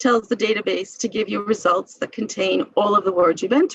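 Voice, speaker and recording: This is an ordinary speaking voice. It has ordinary pitch variation. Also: woman. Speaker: medical librarian teaching a seminar. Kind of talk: lecture.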